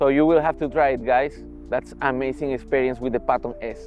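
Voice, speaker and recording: A man with a Spanish accent sounds enthusiastic, with music playing in the background. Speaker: electric unicycle reviewer. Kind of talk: product review to camera.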